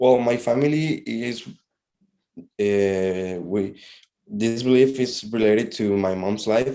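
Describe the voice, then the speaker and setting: A man speaks very slowly with a Spanish accent and a dark, mellow tone. His medium pitch shows ordinary variation. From Honduras. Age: 20s. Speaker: interviewee. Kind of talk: class assignment interview. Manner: halting.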